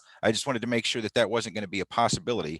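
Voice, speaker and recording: A man is speaking against a quiet background. The sound is dry and close, with no echo. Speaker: township board member. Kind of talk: meeting discussion. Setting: video call. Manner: fast.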